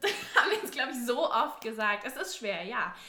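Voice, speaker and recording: A woman's raised, projected voice rings out with audible room echo. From southwest Germany, near Stuttgart. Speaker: university student. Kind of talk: casual chat.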